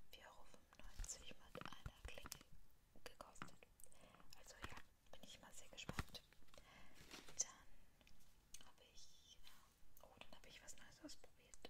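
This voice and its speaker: Whispering at a very slow pace, a woman speaks with long, frequent pauses. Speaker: ASMR creator. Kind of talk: ASMR whispered product haul. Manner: whispered, close-up. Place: home room. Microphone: studio mic.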